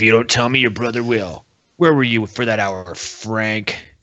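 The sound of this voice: Fairly even intonation from an unforced reading voice, set against a quiet background.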